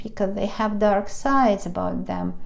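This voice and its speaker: Speaking at a moderate pace in a Russian accent, a woman with a medium-pitched voice is heard against audible room echo. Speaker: tarot reader. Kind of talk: tarot reading monologue. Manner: halting.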